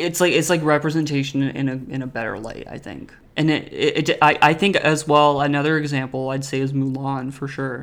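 An ordinary speaking voice at a fairly quick pace, fairly even intonation and big swings in loudness. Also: man, fairly high pitch for a man, hardly any pauses. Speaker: podcast host. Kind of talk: casual chat.

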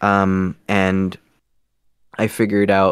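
Speaking at a fairly low pitch, a man comes through on a very clean recording with a silent background and a dry, close sound with no echo. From Guatemala; Toronto, Canada. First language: Spanish. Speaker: scambaiter and voice actor. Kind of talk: casual interview chat.

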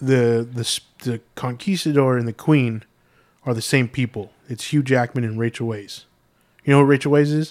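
A man with a plain, everyday voice, medium pitch, fairly even intonation and moderate pace. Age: 30s. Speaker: podcast co-host. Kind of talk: casual chat.

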